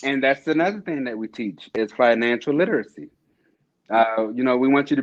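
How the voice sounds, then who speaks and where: This man has an ordinary speaking voice with an American accent, pitched in the medium range. He talks at a fairly quick pace with ordinary pitch variation. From Maryland, USA. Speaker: Army soldier, corporal. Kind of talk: interview answer. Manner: casual, humorous.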